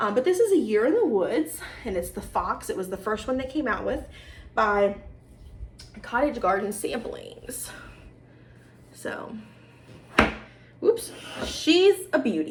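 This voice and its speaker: A woman's high voice with very wide pitch swings, a fairly slow pace, long and frequent pauses, and noticeable background noise. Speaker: cross-stitch video host. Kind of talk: casual show-and-tell vlog. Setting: home video recording with ring light. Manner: animated.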